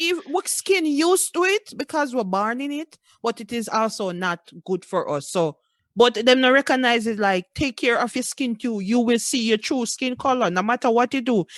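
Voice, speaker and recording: The speaker has a Jamaican accent and talks at a moderate pace with very wide pitch swings. The sound is dry and close with no echo, over a quiet background. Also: woman, high pitch for a woman. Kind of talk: casual podcast conversation.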